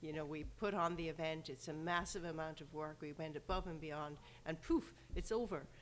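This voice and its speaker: A woman with a very deep, low pitch talks at a fairly quick pace, her intonation fairly even. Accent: slight Irish. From Ireland, rural. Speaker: sports event organizer. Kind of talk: interview. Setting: podcast.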